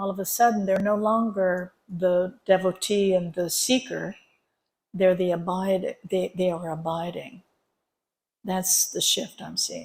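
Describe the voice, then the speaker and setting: Somewhat breathy and medium in pitch, a woman speaks at a fairly slow pace with fairly even intonation. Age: 70s. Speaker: spiritual teacher. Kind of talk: dharma talk at a retreat. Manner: conversational.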